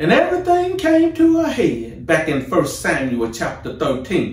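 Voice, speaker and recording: A man speaks at a moderate pace. His voice is surrounded by audible room echo. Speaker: pastor. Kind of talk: sermon. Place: office. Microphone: camera far.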